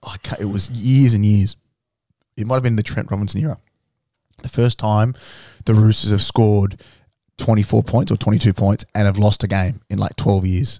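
In an Australian accent, a man speaks with a fairly low pitch, a dark, mellow tone and fairly even intonation at a moderate pace with long, frequent pauses, in a very clean recording with a silent background and a dry, close sound with no echo. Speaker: rugby league fan podcast co-host. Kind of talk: casual chat. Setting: studio.

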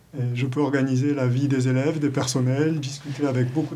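Amid noticeable background noise and audible room echo, a man with a fairly high pitch speaks at a moderate pace in a monotone, flat way. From southern France, Gard. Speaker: deputy school principal. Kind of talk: interview.

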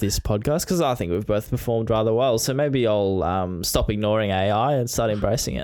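A man talks fairly quickly, and his pitch moves in an ordinary way. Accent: Australian. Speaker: podcast co-host, sports content creator. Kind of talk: casual chat.

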